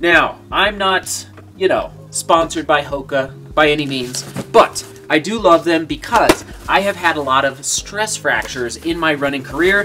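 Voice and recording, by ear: A man's bright, sharp voice at a fairly high pitch, with lively intonation, a fairly slow pace, few pauses and faint background noise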